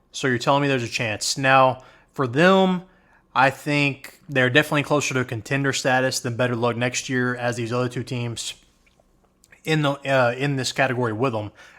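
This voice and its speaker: On a very clean recording with a silent background, a man speaks in a bright, sharp tone. His pitch is medium, his intonation fairly even, and his pace moderate. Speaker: college football YouTuber. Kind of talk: solo sports commentary. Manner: casual, conversational.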